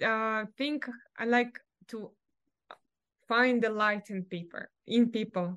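High in pitch, a woman's voice is heard. It shows ordinary pitch variation. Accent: Russian. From Russia. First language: Russian. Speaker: martial artist, real estate agent. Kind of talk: casual interview chat. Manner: laughs often.

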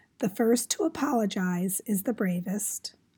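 A woman speaks at a fairly slow pace in a somewhat breathy voice with a dark, mellow tone. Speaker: podcast host. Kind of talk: casual podcast monologue. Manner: halting.

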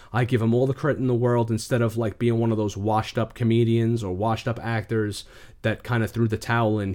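With a New York accent, a man speaks at a fairly quick pace. His pitch is medium. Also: very clean recording, silent background. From New York, the Bronx. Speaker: YouTuber and action figure collector. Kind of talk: casual interview chat.

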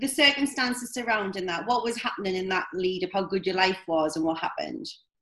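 Speaking fairly quickly in a Scottish accent, a woman uses a fairly high, bright and sharp voice whose pitch swings very widely. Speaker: podcast host. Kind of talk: interview.

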